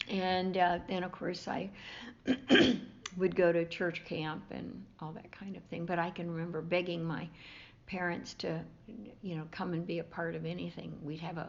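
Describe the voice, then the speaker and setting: At a moderate pace, a woman speaks in a fairly low, warm voice with vocal fry and monotone, flat intonation. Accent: American. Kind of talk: interview answer.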